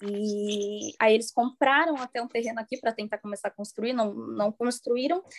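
A woman with an ordinary speaking voice and fairly high pitch talks at a moderate pace, the sound dry and close with no echo. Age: 20s. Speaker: podcast guest. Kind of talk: casual chat.

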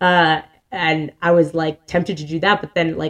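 A woman's ordinary speaking voice, fairly low in pitch, at a moderate pace. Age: 30s. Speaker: podcast co-host and teacher. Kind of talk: casual chat. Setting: studio.

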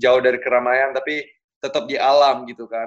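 He is a man with a normal speaking voice and medium pitch. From Bali, Indonesia. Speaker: professional footballer. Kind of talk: casual interview.

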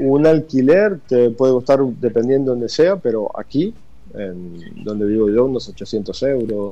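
A man's dark, mellow tone at medium pitch, fairly slow, with very wide pitch swings. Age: 40s. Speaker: emigrant interviewee. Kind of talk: casual interview. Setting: WhatsApp call. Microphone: phone line.

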